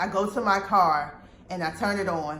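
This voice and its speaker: A woman speaks with vocal fry and fairly even intonation. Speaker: vlogger telling personal story. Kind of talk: storytime monologue. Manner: loud.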